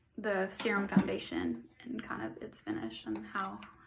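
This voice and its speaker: A woman talks fairly slowly. Behind her, background noise is noticeable. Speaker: makeup tutorial vlogger. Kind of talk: tutorial. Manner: casual, filler-heavy.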